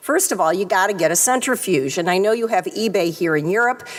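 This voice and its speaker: There is noticeable background noise as a woman speaks at a medium pitch with ordinary pitch variation. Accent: American. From US Midwest, Detroit area. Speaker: retina surgeon. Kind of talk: conference talk.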